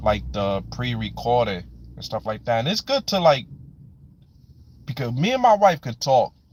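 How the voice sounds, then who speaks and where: A man talks in a New York accent. The recording is very clean, with a silent background. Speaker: live stream host. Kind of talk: live stream chat.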